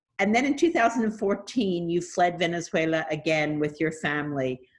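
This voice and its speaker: This is a normal speaking voice from a woman with fairly low pitch and ordinary pitch variation. She talks at a fairly slow pace. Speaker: podcast host. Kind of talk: interview.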